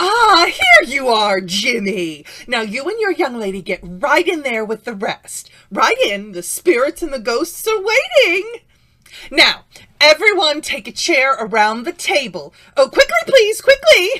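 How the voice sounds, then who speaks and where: A woman puts on a character voice with a pompous tone and a high pitch. She speaks at a fairly slow pace, her pitch swinging very widely. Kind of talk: 1940s radio acting. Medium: audio drama. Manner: bossy, pompous, fussy.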